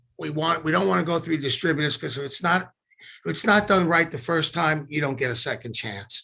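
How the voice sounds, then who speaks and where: Vocal fry runs through a man's bright, sharp tone. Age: 60s. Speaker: company CEO. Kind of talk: interview. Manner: halting.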